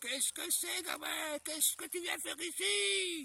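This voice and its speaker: Here a man uses a put-on character voice at an extremely high pitch. His pace is moderate. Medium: read story. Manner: gruff, brusque.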